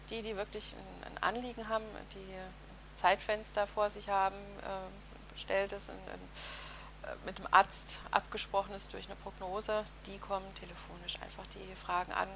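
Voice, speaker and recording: Against noticeable background noise, a woman talks at a moderate pace, with long, frequent pauses and big swings in loudness. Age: 40s. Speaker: psycho-oncology counselor. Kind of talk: interview.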